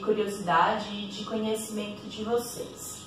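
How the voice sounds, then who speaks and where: Against light background noise and audible room echo, a woman talks at a fairly slow pace. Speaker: yoga teacher. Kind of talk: tutorial. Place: home room. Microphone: camera far.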